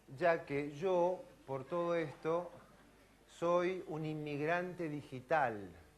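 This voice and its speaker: Someone speaks in a Rioplatense accent at a very slow pace. Audible room echo surrounds the voice. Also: man. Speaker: physician and professor. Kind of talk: lecture.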